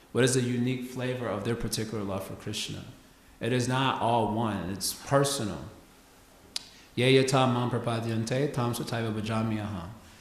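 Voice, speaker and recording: Noticeable background noise and audible room echo surround the speaker. He is a man with a medium pitch and fairly even intonation. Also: moderate pace. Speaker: spiritual teacher. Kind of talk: lecture.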